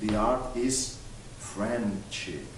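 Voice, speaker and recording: Over noticeable background noise and audible room echo, a man speaks very slowly at medium pitch. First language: French. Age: young. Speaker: art collector and TV host. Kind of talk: interview. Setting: museum gallery. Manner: halting.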